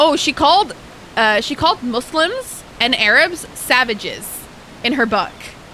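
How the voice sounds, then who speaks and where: A woman's high-pitched, lively voice at a fairly slow pace amid noticeable background noise. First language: Arabic. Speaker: live streamer. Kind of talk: casual gaming stream chat. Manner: animated.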